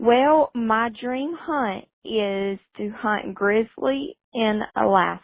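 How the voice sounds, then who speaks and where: A woman with a strong Southern US accent speaks very slowly in a fairly high voice, her intonation lively and her delivery carrying hardly any pauses. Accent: strong Southern American. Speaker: hunter and farmer, interview guest. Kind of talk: radio interview answers.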